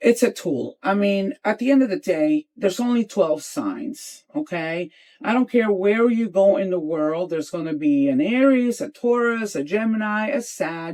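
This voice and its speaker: Speaking at a moderate pace with hardly any pauses, a woman with a Spanish accent uses a fairly high pitch and very wide pitch swings. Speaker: interior designer. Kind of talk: podcast interview. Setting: in a van. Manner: animated.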